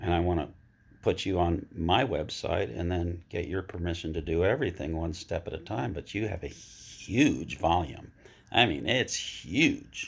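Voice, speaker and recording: On a very clean recording with a silent background, a man speaks fairly slowly in a very deep, low voice that is somewhat breathy. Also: lively intonation. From Vermont. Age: 70s. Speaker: interviewer. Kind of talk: casual chat.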